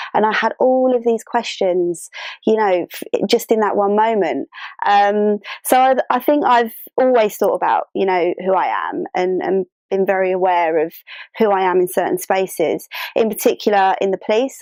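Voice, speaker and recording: A woman with a London accent and ordinary pitch variation, in a dry, close sound with no echo. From London, England. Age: 30s. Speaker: interviewee sharing identity story. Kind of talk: personal testimony. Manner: hesitant, many fillers.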